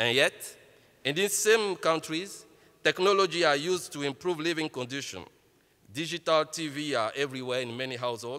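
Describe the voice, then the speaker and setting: Fairly high in pitch, this man speaks at a fairly quick pace with lively intonation and a bright, sharp tone. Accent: Ivorian. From Côte d'Ivoire. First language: French. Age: 30s. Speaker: entrepreneur. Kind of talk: keynote speech.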